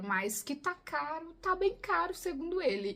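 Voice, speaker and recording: A woman speaks at a fairly slow pace with a Brazilian accent. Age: 20s. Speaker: YouTuber living abroad. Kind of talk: casual talk to camera.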